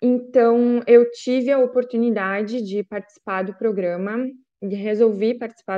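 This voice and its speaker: Here a woman speaks in an unremarkable speaking voice. Her pitch is fairly high, with ordinary variation. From Rio Grande do Sul, Brazil (Lajeado). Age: 20s. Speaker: former exchange student. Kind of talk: presentation.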